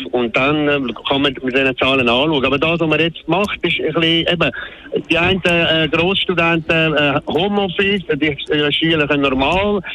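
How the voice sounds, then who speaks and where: Over noticeable background noise, a man with fairly high pitch speaks at a moderate pace, with ordinary pitch variation and very even loudness. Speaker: radio caller. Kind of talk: call-in talk radio. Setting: phone call. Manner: halting, many fillers.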